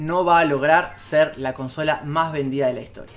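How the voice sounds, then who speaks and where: Clearly audible noise sits in the background. Over it, a man talks at an even, middling rate. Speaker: video game YouTuber. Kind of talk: casual video commentary. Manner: hesitant, with fillers and repeats.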